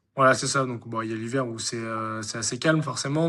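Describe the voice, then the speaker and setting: A man's pitch sits in the medium range and varies in an ordinary way. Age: 20s. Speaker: farmer and amateur triathlete. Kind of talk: interview. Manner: halting, many fillers.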